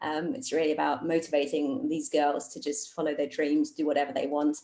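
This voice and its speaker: A woman speaks with a British accent. Her pitch is very deep and low. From Germany, Cologne. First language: German and English. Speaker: astronaut candidate. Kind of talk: virtual public talk. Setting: video call.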